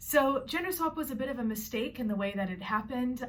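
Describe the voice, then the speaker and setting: A woman with a Canadian accent, with audible room echo. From Canada. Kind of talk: personal vlog introduction. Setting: bedroom.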